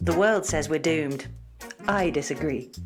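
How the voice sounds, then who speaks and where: Over music in the background, a woman talks fairly quickly in a very deep, low voice. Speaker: podcast host. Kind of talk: podcast intro narration. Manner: enthusiastic.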